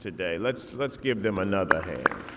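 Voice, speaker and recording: With a Virginia accent, a man speaks amid noticeable background noise. Room echo is audible. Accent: Southern US (Virginia). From Southside Virginia, Lunenburg County. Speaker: commencement speaker. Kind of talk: commencement speech. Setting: stage with audience.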